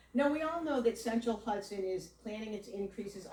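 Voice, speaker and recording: A woman talks loudly at a fairly high pitch, her pitch swinging very widely. Noticeable background noise sits behind her. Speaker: community member at public meeting. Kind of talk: public meeting comment.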